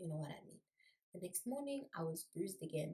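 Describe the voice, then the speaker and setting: A woman's fairly low, dark and mellow voice, somewhat breathy, with lively intonation at a moderate pace. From South Africa. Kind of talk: casual talk to camera.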